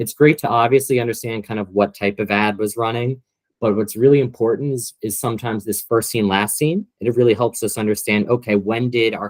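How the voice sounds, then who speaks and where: The speaker keeps a fairly quick pace and fairly even intonation. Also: man. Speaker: corporate trainer presenting competitive intelligence. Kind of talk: training presentation. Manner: fast; casual with many filler words.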